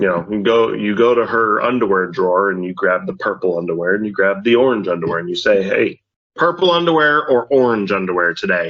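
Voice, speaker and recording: A man speaks at a fairly quick pace with lively intonation. His pitch sits fairly low. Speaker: podcast co-host and father. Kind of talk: casual chat. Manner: loud; halting.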